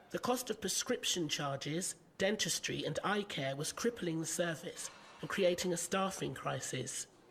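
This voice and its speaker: Noticeable background noise runs throughout. The talking keeps a moderate pace. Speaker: event host. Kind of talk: scripted narration. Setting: stage with audience.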